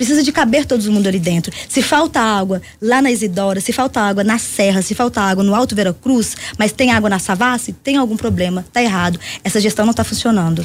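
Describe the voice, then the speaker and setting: Fairly quick and somewhat breathy, a woman speaks with a fairly high pitch, ordinary pitch variation and a Minas Gerais accent. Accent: Minas Gerais Brazilian Portuguese. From Brazil, Belo Horizonte (Minas Gerais). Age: 40s. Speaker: party leader and social movement activist. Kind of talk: radio interview.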